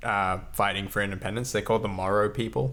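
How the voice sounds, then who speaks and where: A man's bright, sharp voice, fairly low in pitch, with ordinary pitch variation. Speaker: podcast co-host. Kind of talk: casual discussion. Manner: loud; hesitant, many fillers.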